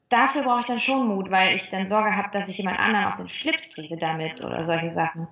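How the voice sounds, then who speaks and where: A woman talks at a very fast pace with lively intonation and a medium pitch. Audible room echo fills the recording. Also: hardly any pauses. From western Germany, near Cologne. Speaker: actress. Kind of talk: interview. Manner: cheerful.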